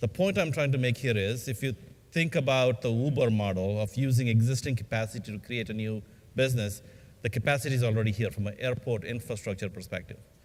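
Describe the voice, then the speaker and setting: A man delivers his words at a very fast pace, with medium pitch and ordinary pitch variation. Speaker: aerospace industry executive. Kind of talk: conference panel talk. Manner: halting.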